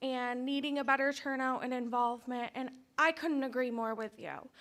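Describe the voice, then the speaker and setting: A woman speaks loudly in a high pitch with a bright, sharp tone. Her pace is moderate. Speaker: parent speaking at public comment. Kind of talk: public comment at board meeting.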